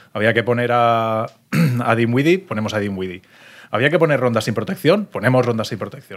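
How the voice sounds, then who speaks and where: At a moderate pace, a man with a plain, everyday voice and medium pitch speaks with lively intonation. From Valencia region, Spain. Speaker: sports podcast co-host. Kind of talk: casual chat. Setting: restaurant in Madrid.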